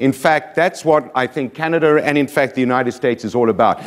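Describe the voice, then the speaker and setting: Speaking with a South African accent, a man with a fairly high pitch and ordinary pitch variation talks at a fairly quick pace. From South Africa, Johannesburg. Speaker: motivational speaker. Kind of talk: keynote speech. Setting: stage with audience. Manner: energetic.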